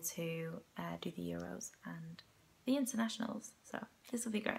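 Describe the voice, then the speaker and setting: A woman speaks at a moderate pace with a bright, sharp tone. The recording is very clean, with a silent background. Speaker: powerlifter. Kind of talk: casual talk to camera. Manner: monotone.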